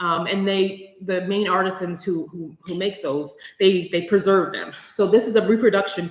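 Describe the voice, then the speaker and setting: Amid noticeable background noise, a woman speaks at a moderate pace in an animated tone with ordinary pitch variation. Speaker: small business owner presenting subscription box. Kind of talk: live stream unboxing. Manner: animated, hesitant with many fillers.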